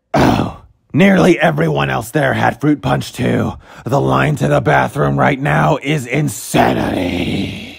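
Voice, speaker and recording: A man uses a put-on character voice, raspy and very deep and low in pitch. He speaks at a fairly slow pace. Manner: casual, bro-ish, exasperated.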